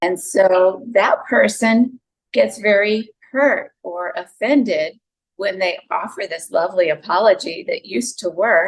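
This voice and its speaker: A woman speaks with a Southern US accent at a fairly slow pace. Her intonation is lively. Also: medium pitch for a woman. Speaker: psychologist and relationship speaker. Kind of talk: podcast interview.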